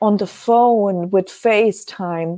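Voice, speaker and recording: In a German accent, a woman speaks at a very slow pace. The sound is dry and close with no echo, and her tone is dark and mellow. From Germany. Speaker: webcast host selling precious metals. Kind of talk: live webcast talk. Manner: halting, many filler sounds.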